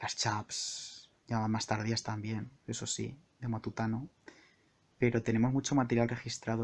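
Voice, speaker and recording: With a relaxed tone, a man speaks at a moderate pace and a medium pitch. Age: 20s. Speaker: podcaster and entertainment journalist. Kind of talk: solo improvised monologue. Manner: relaxed, intimate; halting, frequent word repetitions.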